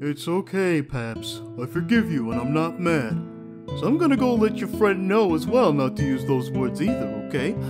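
A put-on character voice speaks at a moderate pace over clear background music. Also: man. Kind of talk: comic dub. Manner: laid-back, drawling.

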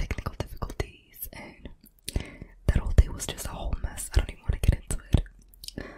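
A woman whispers. Her pace is fairly quick. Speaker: ASMR creator. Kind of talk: casual vlog chat and ASMR whispering. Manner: soft close-mic ASMR speaking. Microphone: studio mic.

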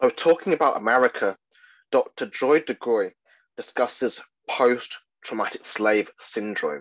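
A man with an RP accent, fairly slow pace, and long, frequent pauses. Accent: Received Pronunciation. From England, Midlands. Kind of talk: lecture.

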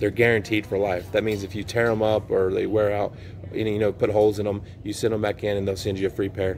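Over light background noise, a man talks at a very fast pace in a fairly low voice with monotone, flat intonation. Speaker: vlogger. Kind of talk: casual vlog chat. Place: shop. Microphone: phone near.

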